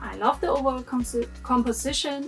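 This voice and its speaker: Over music in the background, a woman with a German accent talks at a moderate pace. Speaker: anime figure reviewer. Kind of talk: casual talk to camera.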